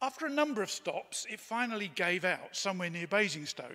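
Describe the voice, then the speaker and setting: Against a quiet background, a man's raised, projected voice rings bright and sharp in tone. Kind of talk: eulogy reading. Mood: warm, reminiscent. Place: church. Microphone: podium.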